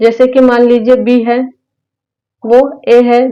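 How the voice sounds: A woman with fairly high pitch speaks with little pitch movement.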